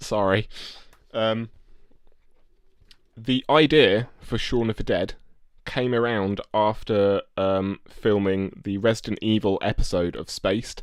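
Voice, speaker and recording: Long, frequent pauses punctuate very slow speech in an English accent, with fairly even intonation, in a very clean recording with a silent background. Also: man, fairly low pitch for a man. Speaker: podcast co-host. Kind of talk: casual chat. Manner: halting.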